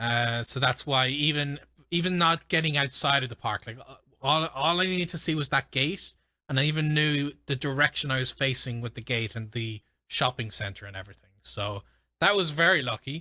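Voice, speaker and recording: A man with an Irish accent talks at a fairly quick pace in a fairly high, bright, sharp voice, his loudness swinging widely. The recording is very clean, with a silent background. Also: ordinary pitch variation. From Ireland. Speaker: gaming streamer and language learner. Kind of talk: live stream commentary while gaming. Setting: live stream. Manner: casual, with frequent fillers.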